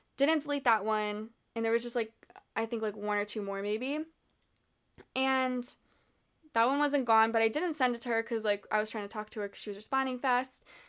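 At a fairly quick pace, the speaker keeps a fairly even intonation with long, frequent pauses. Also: woman, fairly high pitch for a woman. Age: 20s. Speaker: podcast host and tarot reader. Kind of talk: casual chat.

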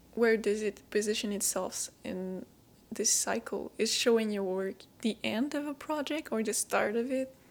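A woman speaks with a French accent in a fairly high voice. She keeps a moderate pace with ordinary pitch variation. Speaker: podcast host. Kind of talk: scripted intro and interview.

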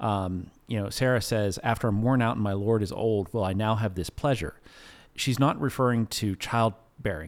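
In a normal speaking voice, a man talks at a moderate pace with fairly low pitch and ordinary pitch variation. The recording is very clean, the background silent. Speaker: pastor. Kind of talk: casual chat.

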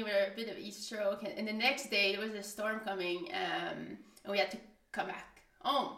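A woman with a fairly high pitch speaks at a moderate pace amid audible room echo and noticeable background noise. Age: 30s. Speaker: podcast guest. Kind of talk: casual storytelling.

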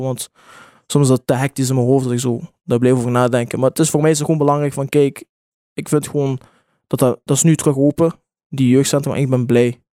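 A man talks very fast in a fairly high voice with a dark, mellow tone and flat, monotone delivery. The recording is very clean and dry, close-miked with no echo and a silent background. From Belgium, Genk (Limburg). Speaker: music artist. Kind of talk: casual chat.

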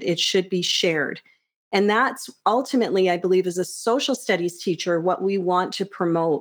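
A woman with a normal speaking voice talks at a moderate pace with ordinary pitch variation on a very clean recording with a silent background. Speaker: high school teacher. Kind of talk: casual interview. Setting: studio.

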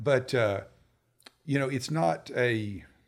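Lively intonation marks this man's speech. He talks at a medium pitch with a Tennessee accent. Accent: Southern US (Tennessee). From US South, Nashville, Tennessee. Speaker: office manager. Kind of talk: casual interview chat. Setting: studio.

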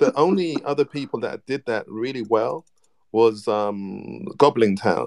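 A man speaks at a slow pace with vocal fry, a slightly mellow tone and ordinary pitch variation.

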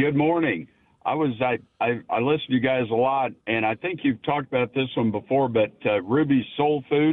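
A man speaks in a plain, everyday voice at a moderate pace. His loudness stays very even and his pitch varies in an ordinary way. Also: medium pitch for a man. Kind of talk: casual chat. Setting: phone call.

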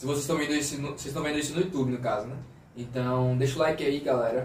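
A man's very fast, fairly high-pitched voice, monotone and flat, with noticeable background noise and audible room echo. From Brazil, Aracaju (Sergipe, Northeast). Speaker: podcast co-host. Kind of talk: casual chat.

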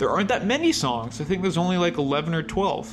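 Music is audible in the background. Over it, a man talks at a fairly quick pace. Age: 30s. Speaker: music podcast host. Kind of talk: casual solo monologue. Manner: hesitant with many fillers.

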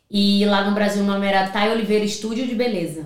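Audible room echo around a woman talking at a moderate pace in a fairly high voice. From Rio de Janeiro, Brazil; from 14 in Paraíba. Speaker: salon owner and hair colorist. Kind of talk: casual chat.

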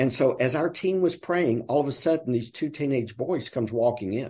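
At a moderate pace, a man speaks with a dark, mellow tone that is somewhat breathy. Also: quiet background. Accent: Southern US. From US South. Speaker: nonprofit sales director. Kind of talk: casual interview chat.

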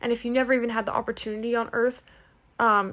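A woman talks at a very fast pace in a monotone, flat intonation. The recording is very clean, with a silent background. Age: 20s. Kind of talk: casual bible teaching. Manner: casual with many filler words.

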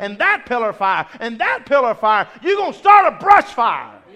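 A man's raised, projected voice with very wide pitch swings. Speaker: preacher. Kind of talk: sermon with prayer. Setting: church. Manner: fast talker.

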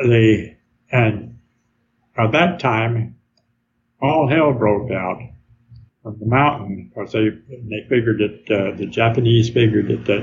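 The voice carries a Southern US accent and vocal fry. Its intonation stays fairly even. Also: man. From Arkansas. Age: 90s. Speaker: war veteran. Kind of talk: interview. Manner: halting.

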